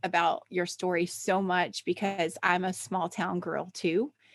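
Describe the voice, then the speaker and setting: Someone speaks at a very slow pace with a Southern US accent. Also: woman. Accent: Southern American. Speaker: podcast host. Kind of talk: podcast interview. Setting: live stream.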